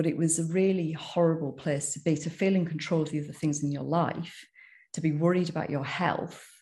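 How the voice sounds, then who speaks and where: This woman speaks at a fairly quick pace in a very deep, low pitch with vocal fry and a dark, mellow tone. Her intonation stays flat and monotone against a quiet background. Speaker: sober coach. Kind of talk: interview testimony.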